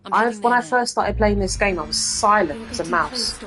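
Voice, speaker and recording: A woman with a British accent, noticeable background noise behind her. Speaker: gaming streamer. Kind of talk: casual gameplay commentary. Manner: fast, talkative.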